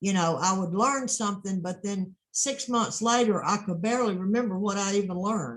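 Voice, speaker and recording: A woman speaks in a somewhat breathy voice at a medium pitch with ordinary pitch variation. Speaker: transcription course owner and teacher. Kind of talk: interview questions, video call.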